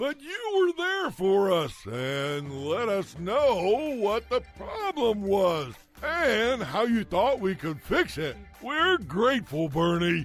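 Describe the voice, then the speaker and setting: With clear music in the background, a man does a cartoonish character voice at a high pitch and a very slow pace. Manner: tough, brash.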